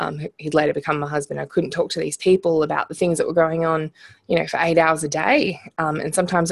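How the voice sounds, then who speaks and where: With an Australian accent, a woman with a fairly low voice speaks fairly quickly in a flat monotone, hardly pausing, the sound dry and close with no echo. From rural Australia. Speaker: entrepreneur. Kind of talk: interview.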